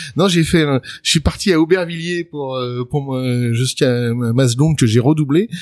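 A man's fairly high voice with ordinary pitch variation, at a fairly slow pace. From Paris suburbs, Seine-Saint-Denis (France). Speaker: journalist and author. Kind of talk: interview. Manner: hesitant, many fillers.

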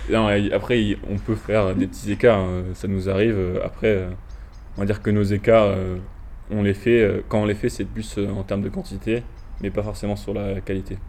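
A man at a fairly low pitch, flat and monotone, moderately paced, with long, frequent pauses. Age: 20s. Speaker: student rower. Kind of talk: interview. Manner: halting.

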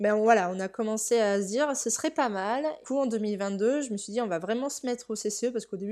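Recorded very cleanly over a silent background, a woman speaks in a normal speaking voice at a fairly high pitch and moderate pace. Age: 30s. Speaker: primary school teacher, horse owner. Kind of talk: interview testimony.

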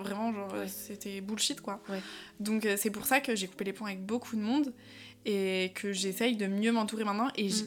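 This woman has a plain, everyday voice with a fairly high pitch. She talks at a moderate pace with fairly even intonation. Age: 20s. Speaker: entrepreneur. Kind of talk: casual chat.

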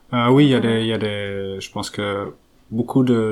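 Fairly even intonation and a fairly quick pace in a man's fairly low-pitched voice. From Belgium, Flanders (French-speaking family). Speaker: researcher. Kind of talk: interview. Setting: at home. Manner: halting, with many fillers and repetitions.

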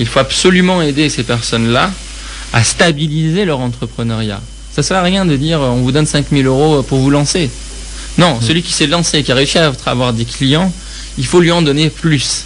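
This man talks at a moderate pace with a fairly high pitch and ordinary pitch variation. Noticeable background noise and audible room echo surround him. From Iran. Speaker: public speaking consultant. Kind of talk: interview.

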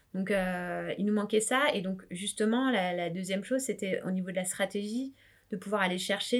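A woman talks at a moderate pace in a medium pitch, with a plain, everyday voice. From France, suburban housing estate, family from Réunion. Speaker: startup founder and startup advisor. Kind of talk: interview.

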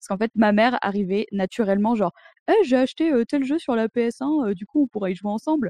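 A woman with a fairly high pitch and a dark, mellow tone speaks at a fairly quick pace, the sound dry and close with no echo. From France, Drôme (near Montélimar). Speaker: video game artist. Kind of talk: interview. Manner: hesitant, many fillers.

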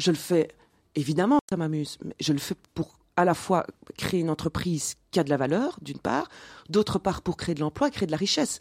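Delivered at a moderate pace with ordinary pitch variation, a normal speaking voice comes through with a dry, close sound and no echo. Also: woman, fairly low pitch for a woman. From Belgium, Mons (Wallonia). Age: 40s. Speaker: entrepreneur. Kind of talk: interview.

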